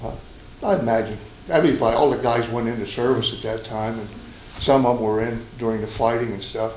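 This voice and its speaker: With an American accent and fairly even intonation, the speech comes at a very fast pace over noticeable background noise. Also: man, medium pitch for a man. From Stroudsburg, Pennsylvania. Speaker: war veteran. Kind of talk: oral history interview answer.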